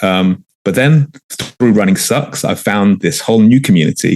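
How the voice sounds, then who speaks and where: Recorded dry and close with no echo, a man with a London accent speaks at a moderate pace and fairly low pitch, with ordinary pitch variation. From London, England. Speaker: journalist, running club organizer. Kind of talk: podcast interview. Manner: hesitant, many fillers.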